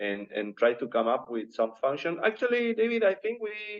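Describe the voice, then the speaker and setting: Speaking with a non-native accent, a man uses lively intonation. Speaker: hardware developer. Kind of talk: technical discussion.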